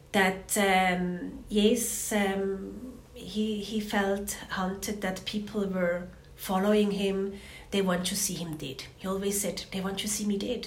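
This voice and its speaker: Over noticeable background noise and audible room echo, a woman speaks very slowly at a medium pitch in a monotone, flat intonation. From Switzerland (Zurich). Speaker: victim's sister, activist. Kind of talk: testimony. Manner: halting.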